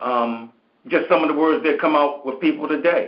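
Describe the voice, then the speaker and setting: The man has an ordinary speaking voice. His pitch is fairly high, with ordinary variation. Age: 60s. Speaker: caller on a call-in show. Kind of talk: casual chat.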